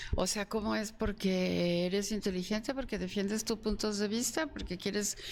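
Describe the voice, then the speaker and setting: With hardly any pauses, a woman speaks at a moderate pace in an ordinary speaking voice, medium in pitch with fairly even intonation. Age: 60s. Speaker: academic guest. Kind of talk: panel discussion.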